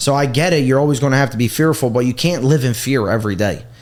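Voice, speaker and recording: A man with a Philadelphia accent at a very fast pace, with ordinary pitch variation. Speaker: social media content creator. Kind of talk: casual interview chat. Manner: loud.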